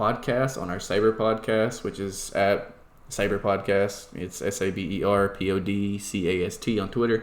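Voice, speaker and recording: With a Southern US accent, a man at a medium pitch talks at a moderate pace amid audible room echo. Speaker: podcast host and esports team organizer. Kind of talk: casual chat.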